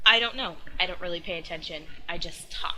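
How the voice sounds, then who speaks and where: Ordinary pitch variation marks a voice with a bright, sharp tone. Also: woman. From US Southeast. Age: 20s. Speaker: gaming YouTuber. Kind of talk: casual vlog talk.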